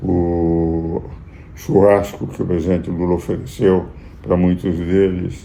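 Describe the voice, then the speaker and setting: With audible room echo and noticeable background noise, a man speaks at a fairly slow pace with a very deep, low pitch. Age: 80s+. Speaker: jurist and commentator. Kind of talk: political commentary. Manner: formal.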